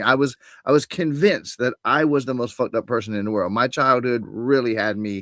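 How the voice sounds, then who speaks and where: With an ordinary speaking voice at a medium pitch, a man talks at a moderate pace in a very clean recording with a silent background and a dry, close sound with no echo. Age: 60s. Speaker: spiritual coach. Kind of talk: interview.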